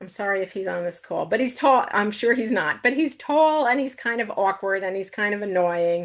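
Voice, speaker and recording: With an American accent and a normal speaking voice, a woman talks at a moderate pace with hardly any pauses. Her pitch is medium, her intonation lively, and the background quiet. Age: 60s. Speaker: novelist. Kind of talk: book talk Q&A.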